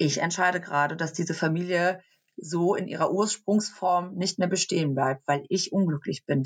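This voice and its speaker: A woman with an unremarkable speaking voice talks at a moderate pace and fairly low pitch, with ordinary pitch variation and a dry, close sound with no echo. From Germany, near Cologne. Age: 30s. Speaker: social media influencer. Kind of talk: interview.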